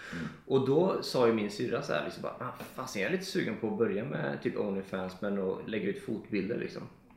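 The voice moves at a fairly quick pace with very wide pitch swings, against noticeable background noise and audible room echo. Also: man, medium pitch for a man. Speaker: podcast co-host. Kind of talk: casual chat.

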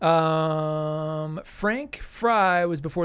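This man has an ordinary speaking voice, a fairly high pitch and ordinary pitch variation, heard on a very clean recording with a silent background. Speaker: podcast co-host. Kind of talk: casual chat.

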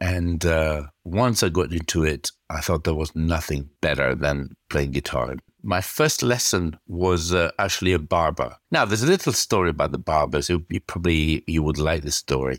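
Moderate pace and vocal fry in an Italian accent, with ordinary pitch variation and a dry, close sound free of echo. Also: man, very deep, low pitch for a man. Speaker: guitarist. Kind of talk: casual interview. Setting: video call.

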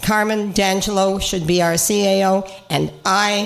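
A woman speaks at a medium pitch with fairly even intonation. There is audible room echo and noticeable background noise. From Cape Breton, Nova Scotia. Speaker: regional councillor. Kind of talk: casual chat.

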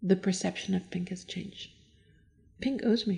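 A woman with an American accent speaks at a moderate pace, her somewhat breathy voice carrying a dark, mellow tone. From mixed: Iran, US, Germany, France. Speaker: interior designer. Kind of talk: casual interview. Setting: at her home. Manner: halting, with repeated words.

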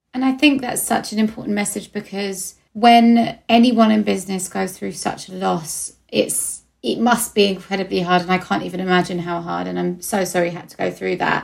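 A woman with an Essex accent at a moderate pace, hardly pausing, on a very clean recording against a silent background. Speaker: podcast host. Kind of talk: interview.

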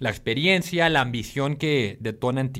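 The speaker has a Colombian accent. The intonation is lively. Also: man. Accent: Colombian-sounding Spanish. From Mexico, Tijuana. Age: 30s. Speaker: startup founder. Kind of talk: casual interview.

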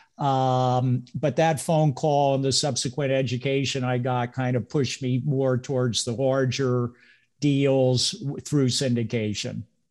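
In a normal speaking voice, a man talks at a fairly slow pace and medium pitch, his intonation fairly even and his loudness very even. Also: quiet background. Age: 60s. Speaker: real estate investor and broker. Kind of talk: casual interview.

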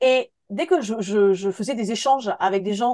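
This woman speaks in an animated tone at a medium pitch, her intonation lively. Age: 40s. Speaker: photographer. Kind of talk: interview.

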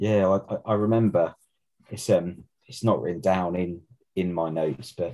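Against a quiet background, a man with an English accent speaks in a very deep, low voice. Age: 40s. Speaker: podcast co-host. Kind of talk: casual chat.

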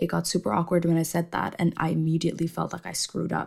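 This woman talks at a very fast pace. Her fairly low voice carries vocal fry. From Indonesia. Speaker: podcaster. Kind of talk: solo casual monologue. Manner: casual, with fillers and laughs.

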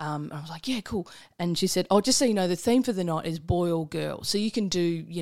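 A woman speaks very fast with an Australian accent, her fairly low pitch moving with ordinary variation over a very clean recording with a silent background. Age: 40s. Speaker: comedian. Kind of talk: casual chat.

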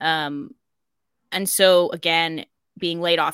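Dry and close with no echo, a woman's very deep, low-pitched voice has a bright, sharp tone and fairly even intonation in a very clean recording with a silent background. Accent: slight American. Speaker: podcast host. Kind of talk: casual chat.

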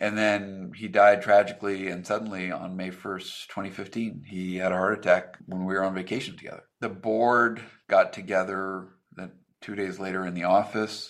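A man talks at a moderate pace with an American accent. He has an ordinary speaking voice. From Nevada, US. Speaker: tech company CEO. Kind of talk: interview.

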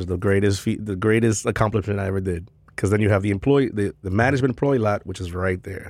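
A man talks at a fairly quick pace in a fairly low pitch with a New York accent. The recording is very clean with a silent background. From New York City, Queens. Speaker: bartender. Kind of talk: casual chat. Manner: animated.

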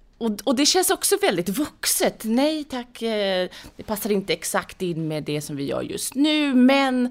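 Her pitch is high and swings very widely. The woman speaks at a very slow pace. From Saudi Arabia and Sweden, born in London. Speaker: entrepreneur and venture investor. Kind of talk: interview. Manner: hesitant, many fillers.

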